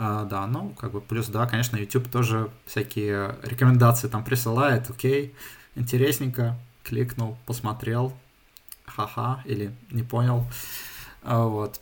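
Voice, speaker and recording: Somewhat breathy, a man speaks at a fairly slow pace with monotone, flat intonation and long, frequent pauses. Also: medium pitch for a man. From St Petersburg, Russia, moved to Germany at 13. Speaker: software developer. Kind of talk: casual interview. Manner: halting, many fillers.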